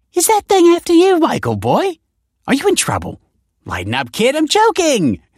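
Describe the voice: The put-on character voice moves at a moderate pace with very wide pitch swings, in a dry, close sound with no echo. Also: man, extremely high pitch for a man.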